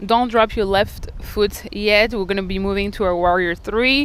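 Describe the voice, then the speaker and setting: Keeping a moderate pace, a woman talks with a non-native accent. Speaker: yoga instructor. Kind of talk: guided yoga class instruction. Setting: outdoors by a lake. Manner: calm, encouraging cueing with breath prompts.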